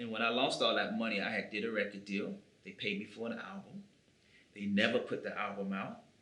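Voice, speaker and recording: A man with an American accent talks at a fairly quick pace. Room echo is audible and background noise is noticeable. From US, Chicago South Side. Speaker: musician. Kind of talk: interview.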